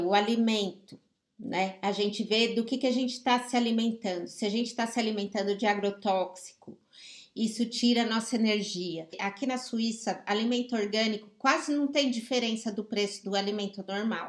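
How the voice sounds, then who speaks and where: This woman has a normal speaking voice, pitched fairly high. She keeps a moderate pace and fairly even intonation. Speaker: life coach. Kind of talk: live stream talk.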